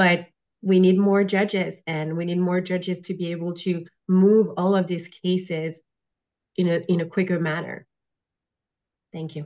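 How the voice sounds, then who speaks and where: A woman with a non-native accent talks at a moderate pace with a fairly low pitch and monotone, flat intonation. Long, frequent pauses break up her speech over a quiet background. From outside the US. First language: not English. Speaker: judicial candidate, prosecutor. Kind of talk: candidate forum statement.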